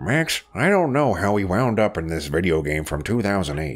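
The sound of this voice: A man puts on a character voice. His pitch is very deep and low, at a moderate pace.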